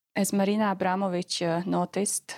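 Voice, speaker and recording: Speaking at a fairly slow pace, a woman is heard in a dry, close sound with no echo. The recording is very clean, the background silent. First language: not English. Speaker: PhD student and artist. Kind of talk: interview about research. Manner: hesitant, many filler words.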